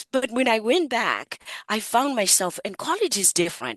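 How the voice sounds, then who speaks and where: With an African accent, a woman speaks in very wide pitch swings, the sound dry and close with no echo. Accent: African accent, noticeable. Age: 60s. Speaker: psychotherapist, coach and author. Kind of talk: interview.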